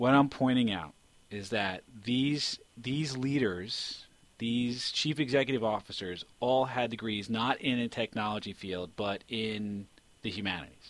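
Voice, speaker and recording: The speaker has a plain, everyday voice. The pace is fairly slow, with ordinary pitch variation. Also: man, medium pitch for a man. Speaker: podcast host. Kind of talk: casual podcast chat.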